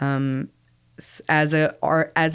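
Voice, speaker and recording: The recording is very clean, with a silent background. A woman speaks in a very deep, low pitch with monotone, flat intonation. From Scarborough, Toronto, Canada (born in Sri Lanka). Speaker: artist. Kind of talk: interview.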